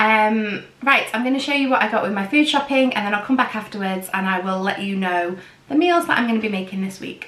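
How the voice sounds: A woman's medium-pitched, fairly bright voice at a fairly quick pace with few pauses and ordinary pitch variation, with audible room echo.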